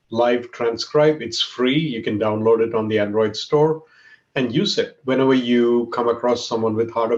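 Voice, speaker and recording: A man with a Keralan accent, medium pitch, ordinary pitch variation and moderate pace. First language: Malayalam. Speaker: tech executive. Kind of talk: talk. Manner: animated.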